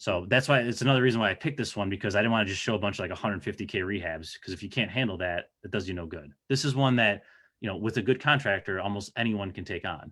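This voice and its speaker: A man with an American accent, fairly low pitch and a bright, sharp tone, at a very fast pace with hardly any pauses and ordinary pitch variation, on a very clean recording with a silent background. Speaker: real estate investor. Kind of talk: presentation.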